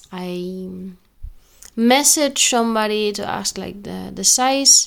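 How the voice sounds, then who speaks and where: With a non-native accent, a woman is talking. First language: not English. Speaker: spiritual podcaster. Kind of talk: solo monologue. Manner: halting.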